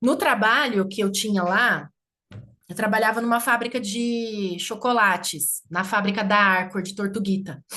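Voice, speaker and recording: A woman with a São Paulo interior accent and a bright, sharp tone, medium in pitch, at a fairly slow pace with ordinary pitch variation. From interior of São Paulo state (Campinas region). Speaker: community leader. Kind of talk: casual chat.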